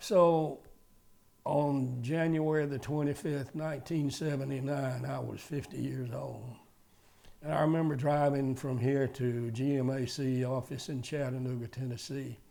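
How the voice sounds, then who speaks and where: Spoken in a Southern US accent at a fairly slow pace, this voice has a dark, mellow tone. Its intonation stays fairly even. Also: man, medium pitch for a man. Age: 80s+. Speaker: retired car dealer. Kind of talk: interview testimony. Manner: halting.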